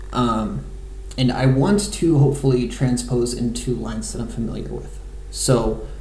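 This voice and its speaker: Audible room echo and noticeable background noise surround the speech. A man delivers it at a moderate pace. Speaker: amateur chess player. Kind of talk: live game commentary. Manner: halting, many fillers.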